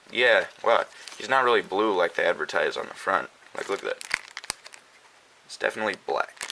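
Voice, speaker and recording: Noticeable background noise is present. Over it, a male speaker talks at a fairly quick pace. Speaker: toy reviewer. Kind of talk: casual unboxing review.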